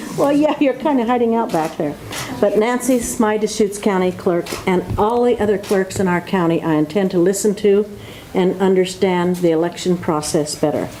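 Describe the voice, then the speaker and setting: Noticeable background noise accompanies a woman with a medium pitch. Her intonation is lively and her loudness very even. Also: moderate pace. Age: 80s+. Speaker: politician. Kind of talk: formal speech. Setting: ceremony with audience in government office.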